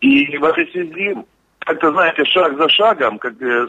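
An unremarkable speaking voice from a man, at a moderate pace with ordinary pitch variation. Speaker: regional legislator and contest organiser. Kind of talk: radio interview. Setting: remote call. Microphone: dropped call.

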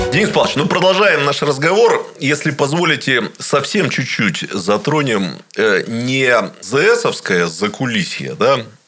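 A man speaks at a fairly high pitch and a very slow pace, his pitch swinging very wide while his loudness stays very even. Noticeable background noise runs underneath. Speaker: radio interviewer. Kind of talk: interview. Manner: measured, deliberate.

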